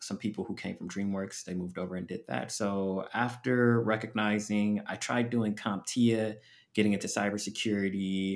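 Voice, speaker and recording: An unremarkable speaking voice belongs to a man with an American accent who speaks at a moderate pace with a fairly low pitch and fairly even intonation, in a very clean recording with a silent background. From US, Los Angeles. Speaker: product designer, former English teacher. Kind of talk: interview conversation.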